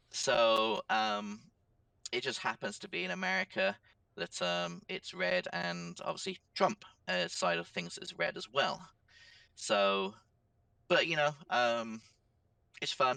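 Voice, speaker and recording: A man's bright, sharp voice at fairly high pitch, very wide pitch swings, a very slow pace, and long, frequent pauses. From England. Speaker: social media platform owner. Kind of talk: podcast interview.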